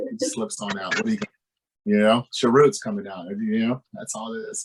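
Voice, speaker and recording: Speech at a moderate pace with a slight Southern US accent. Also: man, big swings in loudness. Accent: slight Southern twang. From North Carolina. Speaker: podcast host. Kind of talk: interview. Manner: animated, stammering.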